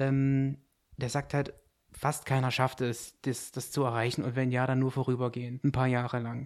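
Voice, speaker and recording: This man speaks in a flat, monotone way. The recording is very clean, with a silent background. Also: medium pitch for a man, moderate pace. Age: 20s. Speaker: private investor, club member. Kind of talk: casual podcast chat.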